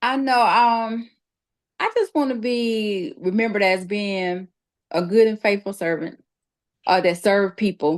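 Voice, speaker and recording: A woman at a medium pitch, fairly slow pace and long, frequent pauses. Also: ordinary pitch variation, dry, close sound with no echo, quiet background. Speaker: evangelist. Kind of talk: testimony. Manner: loud; animated.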